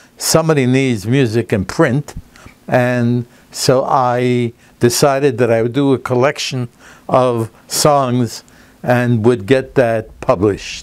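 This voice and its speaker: A man speaks at a very slow pace at medium pitch. His intonation is fairly even and his loudness very even. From Canada, Toronto. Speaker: music publisher. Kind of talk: interview testimony. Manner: hesitant with frequent fillers.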